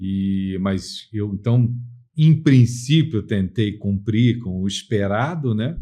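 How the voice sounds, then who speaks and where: This man's voice sits at a medium pitch, its variation ordinary. The tone comes across as dark and mellow. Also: quiet background. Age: 60s. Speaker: lawyer. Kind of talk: interview.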